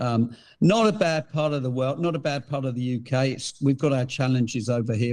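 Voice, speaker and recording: Against a quiet background, a man with an English accent talks at a moderate pace in a dark, mellow tone with ordinary pitch variation. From England. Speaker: hunting gear company founder. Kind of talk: podcast interview.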